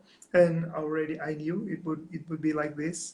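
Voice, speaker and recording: A man talks at a fairly quick pace. He has a non-native accent. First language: not English. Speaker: live stream host. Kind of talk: interview. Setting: Instagram live stream.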